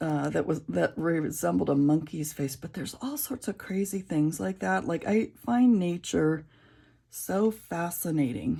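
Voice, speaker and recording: A woman talks at a fairly slow pace in a very deep, low pitch. Her pitch swings are very wide. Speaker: coloring YouTuber. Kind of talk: casual chat while coloring. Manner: halting, many fillers.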